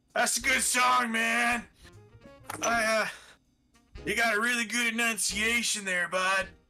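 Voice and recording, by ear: A man's shrill, put-on character voice, extremely high-pitched, raised and projected, at a fairly slow pace over faint music in the background.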